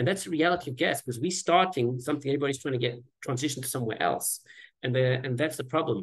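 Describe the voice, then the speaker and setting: A somewhat breathy man at a medium pitch and a very fast pace, with ordinary pitch variation. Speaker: environmental activist. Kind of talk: panel presentation.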